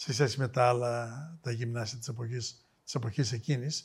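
The man speaks at a fairly slow pace. His voice is somewhat breathy. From Thessaloniki, northern Greece. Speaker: biotech executive. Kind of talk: interview.

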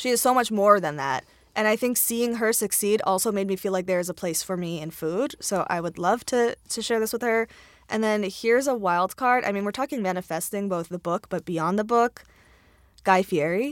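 An ordinary speaking voice with an American accent, ordinary pitch variation and a moderate pace, on a very clean recording with a silent background. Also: woman, medium pitch for a woman. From US Mid-Atlantic, Maryland. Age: 30s. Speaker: cookbook author. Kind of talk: casual chat.

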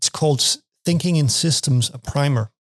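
A man speaks at a fairly high pitch and a moderate pace with a Danish accent. The sound is dry and close, with no echo. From Denmark. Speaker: university lecturer. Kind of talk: podcast interview. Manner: halting, many repetitions.

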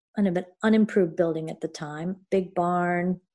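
Against a quiet background, a woman with a dark, mellow tone speaks at a medium pitch with fairly even intonation. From Connecticut. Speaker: potter. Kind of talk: interview.

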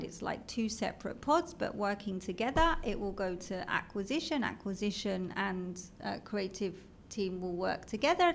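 Speaking at a moderate pace, a woman with a London accent has a fairly high pitch. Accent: British (London). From London, England. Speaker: marketing executive. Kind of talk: casual interview chat.

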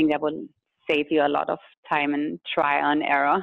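Speaking in a German accent, a woman keeps a moderate pace. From Germany. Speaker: food tour company founder. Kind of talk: interview. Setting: studio.

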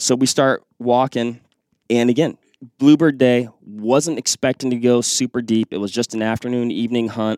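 With an American accent, a man of medium pitch talks at a moderate pace in an ordinary speaking voice, his intonation fairly even and the sound dry and close with no echo. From Western Washington. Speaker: hunter. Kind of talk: casual chat.

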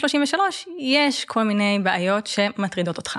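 Fairly slow speech from a woman with lively intonation. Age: 30s. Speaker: gerontologist and age-tech lab director. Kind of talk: interview.

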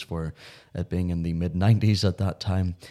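A man speaks with a Northern Irish accent and a dark, mellow tone. His pace is moderate, with ordinary pitch variation. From Northern Ireland. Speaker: podcast host. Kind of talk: casual chat.

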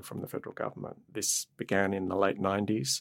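A man with an Australian accent and a very deep, low pitch, in a dry, close sound with no echo. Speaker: professor of medicine and law. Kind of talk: interview.

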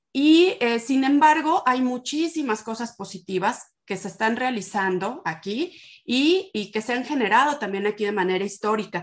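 A woman speaks at a moderate pace. Her fairly high voice has lively intonation. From Morelia, Michoacán, Mexico. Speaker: history professor and researcher. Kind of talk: interview. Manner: halting.

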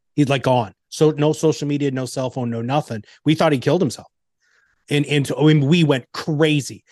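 An unremarkable speaking voice from a man, fairly high in pitch, with fairly even intonation, a fairly quick pace and a quiet background. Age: 50s. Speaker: navy veteran, entrepreneur and former business coach. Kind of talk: casual interview.

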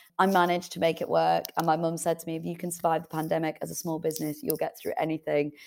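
A woman speaks at a very fast pace with hardly any pauses. The recording is very clean, with a silent background. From northern England, Leeds. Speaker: author and entrepreneur. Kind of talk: interview.

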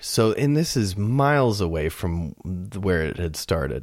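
On a very clean recording with a silent background, a man with an American accent talks at a very deep, low pitch. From US South, Florida. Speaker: podcast host, mastering engineer. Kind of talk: casual chat.

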